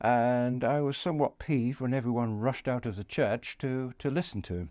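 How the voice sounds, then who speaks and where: A man with a Yorkshire accent is speaking. His pitch is medium and his pace moderate. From northern England (East Yorkshire). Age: 80s+. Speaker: war veteran. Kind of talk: interview. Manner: halting.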